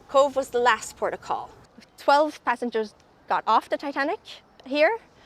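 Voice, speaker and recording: Delivered at a moderate pace with an Irish accent, the voice sounds dry and close with no echo. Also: woman. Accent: Irish brogue. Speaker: tour ambassador. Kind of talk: casual interview.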